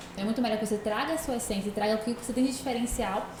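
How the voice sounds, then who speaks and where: Amid noticeable background noise and audible room echo, a woman speaks with monotone, flat intonation at a fairly high pitch. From Brazil, Northeast (Salvador, Bahia). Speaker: entrepreneur and digital influencer. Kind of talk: podcast interview.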